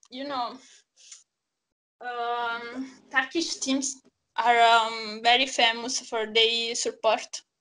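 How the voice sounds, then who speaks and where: In an Italian accent, a woman speaks very slowly with a high pitch, a bright, sharp tone, monotone, flat intonation, big swings in loudness, and long, frequent pauses. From Naples, Italy. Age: 20s. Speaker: football fan guest. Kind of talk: casual chat. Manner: halting.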